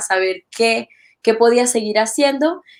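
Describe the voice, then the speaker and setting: This woman has a fairly high pitch and a slight Venezuelan accent. Her pace is moderate. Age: young. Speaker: church literature ministry worker. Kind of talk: interview.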